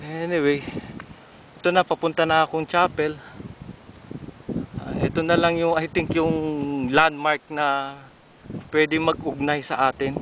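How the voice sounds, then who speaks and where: Against noticeable background noise, a man with a fairly high pitch speaks in a monotone, flat way with long, frequent pauses, in a dry sound with no echo. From Philippines. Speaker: alumnus giving video tour of old school. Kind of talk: walking video tour narration. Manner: halting, with many fillers. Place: open country. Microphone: phone near.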